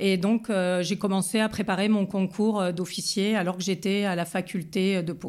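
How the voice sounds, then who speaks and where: A woman speaks fairly slowly at a medium pitch, with hardly any pauses. Her intonation stays flat and monotone. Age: 40s. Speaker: police commissioner. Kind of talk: testimony. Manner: halting.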